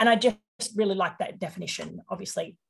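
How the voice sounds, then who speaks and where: A woman's somewhat breathy voice. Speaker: podcast host. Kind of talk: casual chat.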